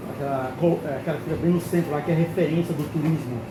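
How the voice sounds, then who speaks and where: Over noticeable background noise and audible room echo, a man talks at a very fast pace in a high pitch. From Brasília, Brazil. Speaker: customer experience consultant and channel host. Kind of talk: travel vlog and interview. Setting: on location in a Lisbon restaurant. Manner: animated.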